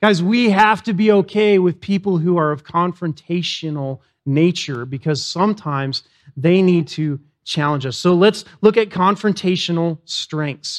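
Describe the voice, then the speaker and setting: Loud and animated, a man speaks at a high pitch and a fairly slow pace, with ordinary pitch variation, against a quiet background. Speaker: pastor. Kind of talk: sermon. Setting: church.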